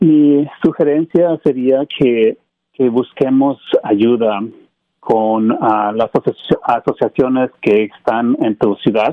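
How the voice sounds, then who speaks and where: Speaking very slowly, a man keeps a medium pitch with ordinary pitch variation and very even loudness. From Mexico. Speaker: IT business owner. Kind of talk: radio interview. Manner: halting.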